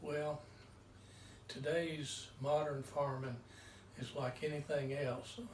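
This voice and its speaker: In a room with audible echo, a man speaks very slowly with fairly even intonation and long, frequent pauses. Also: fairly high pitch for a man. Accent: North Carolina. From US South, North Carolina (Mount Pleasant). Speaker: farmer. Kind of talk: interview.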